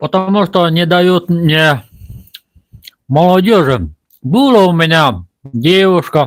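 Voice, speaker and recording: A man's fairly high voice, with ordinary pitch variation, unfolds very slowly. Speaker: village vlogger. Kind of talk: live stream monologue. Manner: halting.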